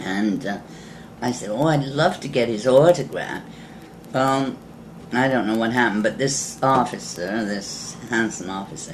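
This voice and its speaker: Noticeable background noise sits under this recording. A woman speaks with a very deep, low pitch. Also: ordinary pitch variation, moderate pace. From England. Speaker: war bride. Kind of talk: interview answer.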